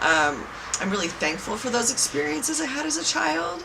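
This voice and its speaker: A woman with a Californian accent speaks fairly quickly at a medium pitch, with audible room echo and noticeable background noise. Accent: Californian American English. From Southern California (Irvine). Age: 30s. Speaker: psychic healer. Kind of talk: interview testimony.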